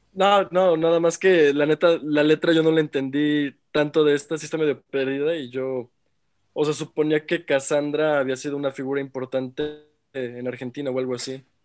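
Music plays behind a man whose fairly high-pitched voice keeps a fairly even intonation, the sound dry and close with no echo. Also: moderate pace. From Mexico. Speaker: music production student. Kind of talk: casual chat.

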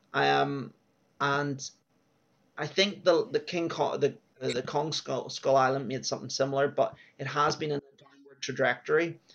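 This man has an Irish accent. His loudness swings widely. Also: moderate pace. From Ireland. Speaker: film podcast co-host. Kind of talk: casual chat. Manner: hesitant, many fillers.

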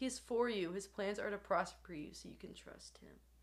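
A woman speaking at a moderate pace. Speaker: podcast host. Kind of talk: casual chat. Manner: animated.

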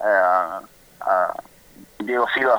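A man speaks with an Argentine accent and fairly even intonation. The sound is dry and close, with no echo. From Argentina, Comodoro Rivadavia (Patagonia). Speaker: professional basketball player. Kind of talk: phone interview. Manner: halting, many repetitions.

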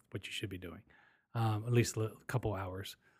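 Speaking at a fairly quick pace with an American accent, a man sounds somewhat breathy, his intonation fairly even, in a very clean recording with a silent background. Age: 40s. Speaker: podcast host. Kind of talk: casual chat.

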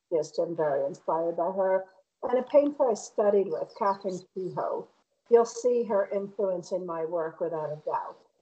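A woman's normal speaking voice at a medium pitch, fairly slow, with lively intonation. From Connecticut, outside Hartford (Bristol). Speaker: painter. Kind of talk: casual interview. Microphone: connection dropped out at times.

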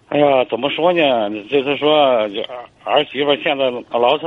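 Against noticeable background noise, a man speaks at a moderate pace in a fairly high pitch. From Hebei, China. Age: 50s. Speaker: caller. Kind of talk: call-in advice. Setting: phone call. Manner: halting.

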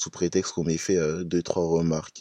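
A man talks in a very deep, low voice at a fairly slow pace, his tone dark and mellow. The sound is dry and close with no echo, and the background is quiet. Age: young. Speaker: podcast host. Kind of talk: casual podcast monologue.

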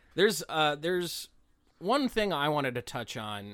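Speaking with an American accent, a man goes at a moderate pace with very wide pitch swings. The recording is very clean with a silent background. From West Virginia, Appalachia. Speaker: comedian guest. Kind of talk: casual comedic podcast chat.

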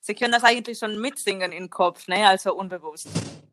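A woman speaks with a Spanish accent in a fairly high voice with ordinary pitch variation. Her tone is bright and sharp. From Spain. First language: Spanish (speaking German). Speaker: singer. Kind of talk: casual chat.

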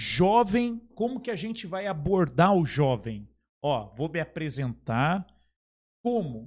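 The recording is very clean, with total silence behind the voice. Delivery is very slow. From Brazil, São Paulo state interior (Caçapava). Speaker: podcast host. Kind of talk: casual chat.

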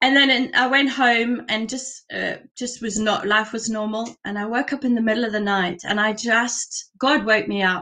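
A woman speaks in a raised, projected voice. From UK and South Africa. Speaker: church member giving testimony. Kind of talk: testimony. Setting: video call from home.

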